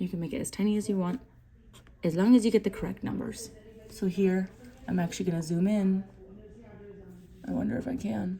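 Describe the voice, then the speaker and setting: A woman speaks at medium pitch with ordinary variation and a dark, mellow tone. Her delivery is somewhat breathy, with long, frequent pauses. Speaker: math teacher. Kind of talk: tutorial.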